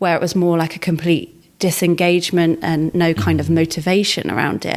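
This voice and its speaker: A woman uses a normal speaking voice, fairly low in pitch, at a moderate pace. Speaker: podcast host. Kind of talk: podcast conversation.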